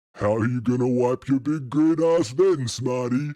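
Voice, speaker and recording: A man does a put-on character voice at medium pitch and a moderate pace. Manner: mocking.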